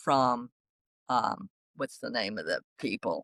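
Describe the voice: A woman speaks with lively intonation and a fairly bright tone. The sound is dry and close, with no echo.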